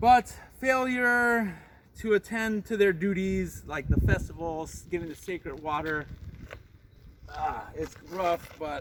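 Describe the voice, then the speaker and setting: A man speaks loudly in a high pitch with lively intonation. Noticeable background noise runs behind him. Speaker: travel vlogger. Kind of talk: walking tour vlog. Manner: casual, hesitant with fillers.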